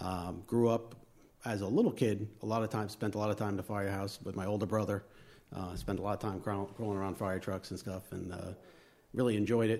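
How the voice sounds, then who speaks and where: On a very clean recording with a silent background, a man with a Long Island accent speaks in a dark, mellow tone, fairly low in pitch and monotone, with flat intonation. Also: fairly quick pace. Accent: Long Island New York. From Long Island, New York. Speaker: fire lieutenant and volunteer. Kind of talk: casual interview chat.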